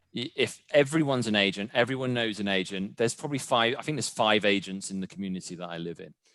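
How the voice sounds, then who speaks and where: With a British accent, the man talks at a very fast pace, his tone bright and sharp and his intonation lively. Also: quiet background. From UK. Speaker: real estate agent. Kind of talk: interview.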